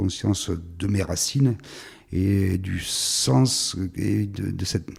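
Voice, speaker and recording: This man has a very deep, low pitch and a dark, mellow tone with vocal fry. His pitch varies in an ordinary way. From southern France, Var, Provence. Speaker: filmmaker. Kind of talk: interview monologue. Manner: halting, many repetitions and hesitations.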